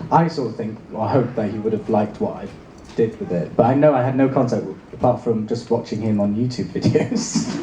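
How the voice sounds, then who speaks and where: With a Welsh accent, a man speaks at a fairly quick pace, his pitch medium with ordinary variation. Noticeable background noise and audible room echo surround his voice. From Wales. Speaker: actor. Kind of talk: convention panel Q&A. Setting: stage with audience.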